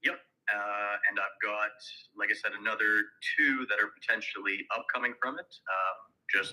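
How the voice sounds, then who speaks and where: Moderate pace from a man with a Canadian accent. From Canada. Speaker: real estate agent. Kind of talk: sales role play.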